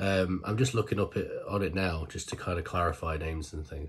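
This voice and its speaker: A man talks at a fairly quick pace in a fairly low pitch, somewhat breathy, with ordinary pitch variation. The recording is very clean, with a silent background. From Britain. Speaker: K-pop reaction YouTuber. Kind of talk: casual monologue to camera. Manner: animated.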